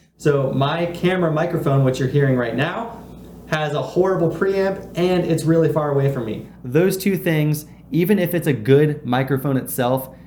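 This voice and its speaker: With ordinary pitch variation, a man of fairly high pitch speaks at a moderate pace amid light background noise and audible room echo. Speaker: YouTube creator. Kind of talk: tutorial.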